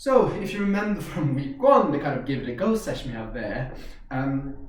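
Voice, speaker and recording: There is audible room echo around this man. He talks at a fairly quick pace. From Norway. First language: Norwegian. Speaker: karate instructor. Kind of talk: instructional tutorial. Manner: casual, hesitant with fillers.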